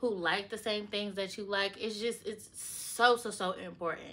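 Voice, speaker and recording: The speaker is female. Her tone comes across bright and sharp. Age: 20s. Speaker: lifestyle vlogger. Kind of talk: casual advice vlog. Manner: animated.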